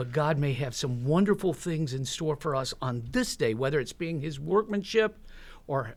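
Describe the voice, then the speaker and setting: A man talks at a moderate pace in a somewhat breathy voice, fairly high in pitch, with ordinary pitch variation. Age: 60s. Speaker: church member sharing life story. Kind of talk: interview testimony.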